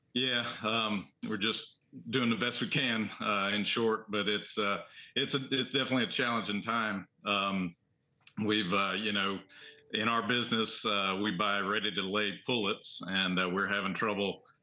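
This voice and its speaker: Over background music, a man with a Southern accent speaks at a moderate pace in a fairly low pitch, with monotone, flat intonation and very even loudness. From US South, the Carolinas. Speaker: egg farmer. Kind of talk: TV news interview. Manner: halting, many fillers.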